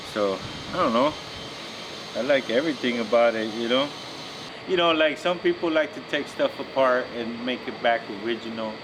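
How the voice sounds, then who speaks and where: A man with a medium-pitched voice speaks at a moderate pace, with long, frequent pauses, over noticeable background noise. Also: ordinary pitch variation. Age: middle-aged. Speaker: custom car builder. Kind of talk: casual chat. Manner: casual, slangy.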